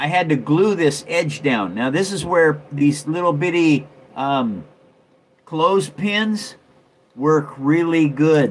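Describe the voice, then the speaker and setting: Over light background noise, a man speaks very slowly with ordinary pitch variation. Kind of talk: casual livestream show and tell. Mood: relaxed, friendly. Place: home room. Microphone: phone near.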